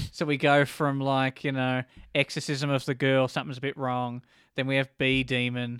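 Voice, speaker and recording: In a very clean recording with a silent background and a dry, close sound with no echo, a man with an Australian accent speaks at medium pitch and a moderate pace with monotone, flat intonation. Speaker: podcast co-host. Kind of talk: casual chat.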